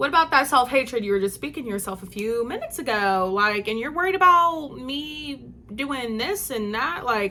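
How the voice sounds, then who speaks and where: Loud and animated, a woman speaks at a high pitch with very wide pitch swings. She keeps a moderate pace with hardly any pauses. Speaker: vlogger. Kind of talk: casual monologue.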